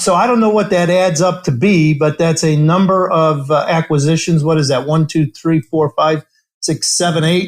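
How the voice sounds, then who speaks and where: An American man with a fairly high pitch talks at a moderate pace, keeping very even loudness and fairly even intonation. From US Midwest, south side of Chicago. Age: 60s. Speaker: company CEO. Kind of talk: interview. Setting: podcast interview.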